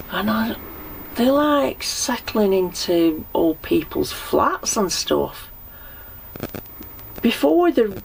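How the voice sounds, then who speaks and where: Very slowly, a woman speaks with very wide pitch swings amid noticeable background noise. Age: 60s. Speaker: narrowboat dweller. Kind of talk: casual chat.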